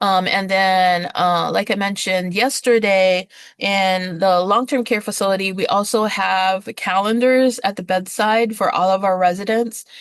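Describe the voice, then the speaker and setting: A woman's ordinary speaking voice at medium pitch, fairly slow and fairly even in intonation, with hardly any pauses against a quiet background. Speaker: nursing assistant instructor. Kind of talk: lecture. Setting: video call. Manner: many filler words.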